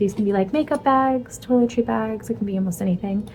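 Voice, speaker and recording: This woman's voice sits at a medium pitch and has lively intonation. Noticeable background noise runs behind her. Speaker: crafting vlogger and small business owner. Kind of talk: casual vlog. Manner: casual, filler-heavy.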